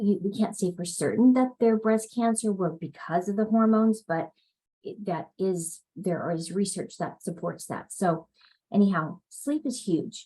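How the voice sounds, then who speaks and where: A woman speaks somewhat breathily with a dark, mellow tone. Her medium pitch carries ordinary pitch variation. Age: 60s. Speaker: health and sleep coach. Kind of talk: live online workshop talk. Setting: live video stream. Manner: casual, halting with fillers.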